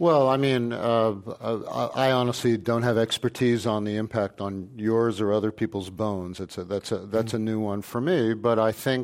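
A man talks in a plain, everyday voice at a medium pitch. He keeps a moderate pace with ordinary pitch variation. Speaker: physician. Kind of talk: panel discussion. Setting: stage with live audience.

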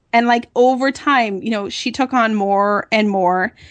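A plain, everyday voice from a woman, fairly high in pitch with ordinary variation, moderate pace, quiet background. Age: 40s. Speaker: marketing agency founder. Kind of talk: interview.

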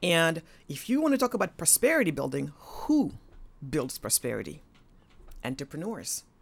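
A woman speaks at a fairly low pitch with very wide pitch swings. The recording is very clean, with a silent background. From Senegal. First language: Wolof or French (English is fourth language). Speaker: author and entrepreneur. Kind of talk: interview.

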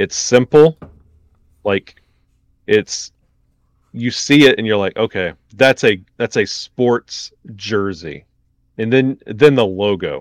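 The delivery is very slow, with ordinary pitch variation. It sounds dry and close, without any echo. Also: man, medium pitch for a man. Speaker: hockey podcaster. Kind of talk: casual chat. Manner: animated.

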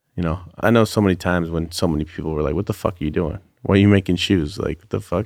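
In a Californian accent, a man with a very deep, low voice speaks at a very fast pace with big swings in loudness. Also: ordinary pitch variation. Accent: Californian American. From US West Coast, Bay Area (Santa Rosa). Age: 30s. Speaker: custom sneaker designer. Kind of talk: casual interview chat.

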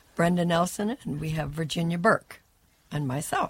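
A moderate pace carries the speech. There is a somewhat breathy quality to the voice. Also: woman. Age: 70s. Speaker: sports super fan. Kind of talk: casual interview.

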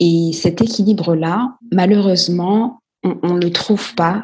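A woman's fairly low pitch with ordinary pitch variation, in a plain, everyday voice. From Guadeloupe. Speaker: entrepreneur and investor. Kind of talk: podcast interview.

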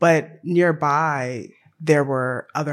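A man with a plain, everyday voice, fairly high in pitch, with ordinary pitch variation. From US South, Tennessee. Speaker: film director and poet. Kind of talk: panel discussion.

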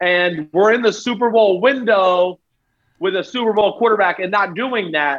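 At a moderate pace, a man talks with a high pitch. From New Jersey. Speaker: football analyst. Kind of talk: casual chat.

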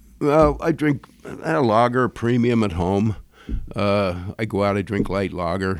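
A man talks at a moderate pace with a fairly low pitch. He has a normal speaking voice and lively intonation. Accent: American. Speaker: brewery owner. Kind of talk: casual interview.

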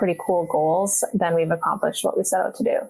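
Noticeable background noise surrounds a woman speaking in a Canadian Prairies accent at a fairly low pitch. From Winnipeg, Canada. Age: 20s. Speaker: curler. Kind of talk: casual chat.

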